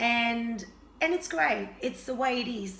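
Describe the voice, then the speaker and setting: A woman speaks at a fairly slow pace with fairly even intonation. Audible room echo is present. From Argentina. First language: Spanish. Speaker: health and fitness vlogger. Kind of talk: casual vlog introduction.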